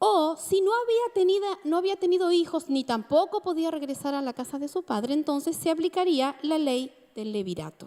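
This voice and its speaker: A woman speaks at a moderate pace in an extremely high pitch, with hardly any pauses. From Argentina, Mar del Plata (Buenos Aires province). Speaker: preacher. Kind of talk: sermon.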